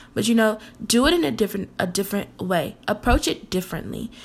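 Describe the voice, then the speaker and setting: Lively intonation and an animated tone mark this woman's fairly high voice, which carries vocal fry. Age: 20s. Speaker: motivational speaker and entrepreneur. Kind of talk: solo podcast tips talk.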